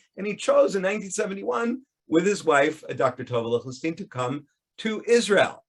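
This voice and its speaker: With an American accent, a man talks at a fairly quick pace in a high voice. His pitch swings very widely. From United States. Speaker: professor. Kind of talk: lecture. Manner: halting, with repetitions and fillers.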